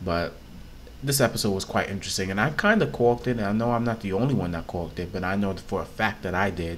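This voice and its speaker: Soft-spoken, a man talks at a very fast pace with ordinary pitch variation. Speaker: YouTube TV reviewer. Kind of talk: casual review vlog. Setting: at home, on camera. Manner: soft-spoken, talking low.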